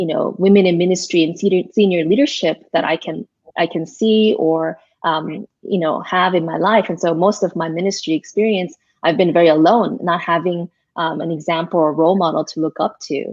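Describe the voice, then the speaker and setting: In an American accent, a woman with a fairly low pitch talks at a fairly quick pace in an ordinary speaking voice. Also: fairly even intonation. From US, Korean American community. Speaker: pastor. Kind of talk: interview. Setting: live online broadcast.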